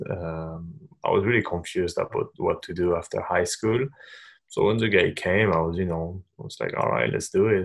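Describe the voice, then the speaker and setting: A man speaks at a moderate pace with a French accent. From France, Paris. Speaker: sports agent. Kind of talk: casual interview.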